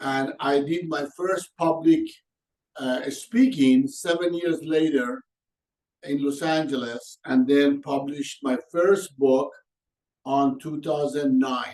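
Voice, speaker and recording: Speaking very slowly with an Iranian accent, a man holds a fairly high pitch and fairly even intonation. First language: Persian. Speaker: organizational coach and consultant. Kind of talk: webinar presentation. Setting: online webinar.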